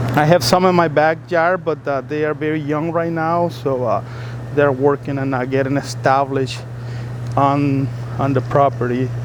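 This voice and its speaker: Fairly high-pitched male speech in a Spanish accent, moderate in pace with fairly even intonation, over noticeable background noise. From El Salvador. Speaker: YouTuber. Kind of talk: casual vlog narration. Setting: outdoors in a garden. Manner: halting, many fillers.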